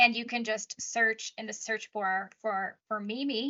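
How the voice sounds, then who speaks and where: A woman with a fairly high pitch talks at a moderate pace in a normal speaking voice, her intonation fairly even. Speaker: podcast host, nurse practitioner. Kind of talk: casual interview conversation.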